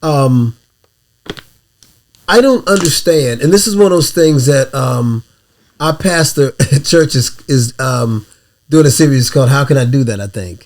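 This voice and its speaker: Pausing long and often, a man speaks at a fairly slow pace with lively intonation. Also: fairly high pitch for a man. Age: 60s. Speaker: podcast co-host. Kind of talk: casual chat.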